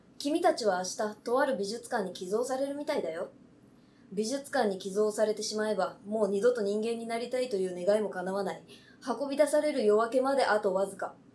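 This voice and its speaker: Fairly quick speech from a woman, fairly high in pitch, with ordinary pitch variation. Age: young. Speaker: TikToker. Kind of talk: reading aloud; casual chat. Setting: on location. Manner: fast.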